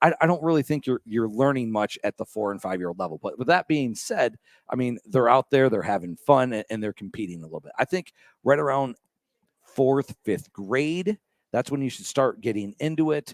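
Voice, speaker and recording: Dry and close with no echo in a very clean recording over a silent background, a man with an American accent and an unremarkable speaking voice talks fairly quickly at medium pitch with lively intonation. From Michigan. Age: 30s. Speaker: radio host. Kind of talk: casual chat. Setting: coffee shop.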